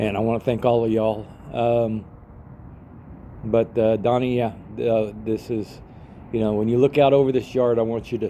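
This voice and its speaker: A man with an American accent has a dark, mellow tone. His intonation is monotone and flat. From Texas, San Antonio. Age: 70s. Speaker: retired father recording a personal video message. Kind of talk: personal video message. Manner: halting, many fillers.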